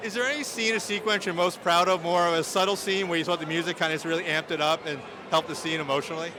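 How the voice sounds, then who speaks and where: Against noticeable background noise, a high-pitched man with a Long Island accent talks at a very fast pace with ordinary pitch variation. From New York, Long Island. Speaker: awards event interviewer. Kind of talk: red carpet interview. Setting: awards event.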